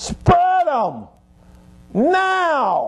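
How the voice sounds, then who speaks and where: The speaker uses a put-on character voice. Its pitch is high. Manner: stern, commanding, barking.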